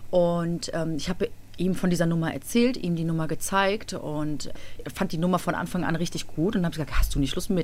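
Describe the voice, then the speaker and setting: Energetic in tone, a woman with a fairly low pitch talks at a fairly quick pace. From Cologne, Germany. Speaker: schlager singer. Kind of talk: radio interview.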